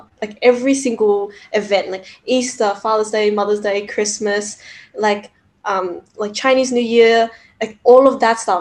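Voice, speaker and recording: With ordinary pitch variation, this woman's fairly high voice keeps a moderate pace. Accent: Australian. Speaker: podcast co-host. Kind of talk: casual chat.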